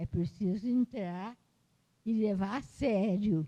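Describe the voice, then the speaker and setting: Very slowly, a woman speaks in a dark, mellow tone that is somewhat breathy, with lively intonation. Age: 80s+. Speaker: retired history professor and author. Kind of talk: interview at book launch. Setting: university library event. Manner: halting.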